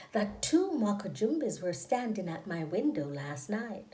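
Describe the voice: In a room with audible echo, a woman speaks slowly at medium pitch with a dark, mellow tone.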